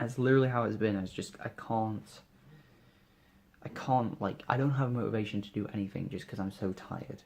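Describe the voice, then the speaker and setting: A quiet man with a British accent, medium pitch, fairly even intonation and a fairly quick pace. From UK. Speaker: vlogger. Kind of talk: casual vlog monologue. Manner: halting.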